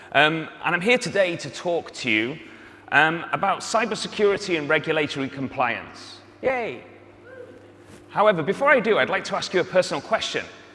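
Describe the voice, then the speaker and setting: A man's high-pitched voice at a fairly quick pace, lively intonation, and noticeable background noise. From North Wales. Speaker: startup founder and CEO. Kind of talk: pitch presentation. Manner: filled pauses, some stumbles.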